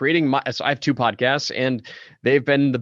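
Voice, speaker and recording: Over a quiet background, a man talks at a fairly quick pace with a dry, close sound and no echo. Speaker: podcast host. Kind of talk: interview. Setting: podcast interview. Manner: commanding.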